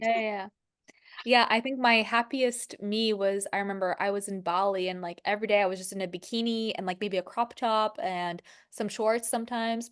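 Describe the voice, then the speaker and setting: The speech comes at a fairly quick pace with fairly even intonation over a quiet background. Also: woman, fairly high pitch for a woman. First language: French. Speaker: spiritual life coach. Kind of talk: casual chat.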